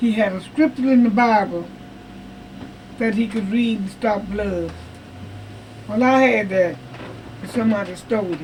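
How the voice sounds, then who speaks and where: Moderate pace with long, frequent pauses, ordinary pitch variation, and noticeable background noise. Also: woman, fairly high pitch for a woman. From Texas. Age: 80s+. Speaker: retired state cook. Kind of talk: interview answer.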